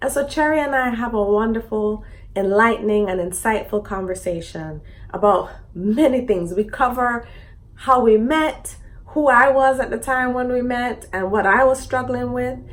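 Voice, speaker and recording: With a plain, everyday voice, a woman speaks at a moderate pace and a fairly high pitch, her pitch variation ordinary. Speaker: podcast host. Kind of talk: series introduction to camera.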